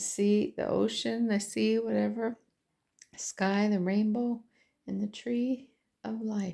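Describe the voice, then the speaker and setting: A woman at a moderate pace on a very clean recording with a silent background. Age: 60s. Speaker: puzzle hobbyist vlogger. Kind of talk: casual vlog monologue. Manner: rambling, filler-heavy.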